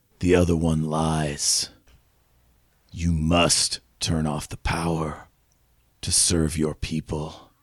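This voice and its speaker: In a put-on character voice, a man speaks with very deep, low pitch and monotone, flat intonation, at a very slow pace with long, frequent pauses. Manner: cryptic, commanding, stern.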